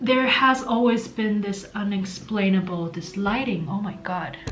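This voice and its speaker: A woman with an American accent speaks at a medium pitch, with audible room echo and music in the background. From Taiwan. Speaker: vlogger. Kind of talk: casual chat. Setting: home. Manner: animated.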